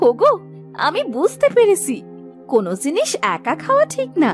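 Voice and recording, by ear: In a cartoonish character voice, a woman speaks at a moderate pace with extremely high pitch and very wide pitch swings. Faint music plays in the background.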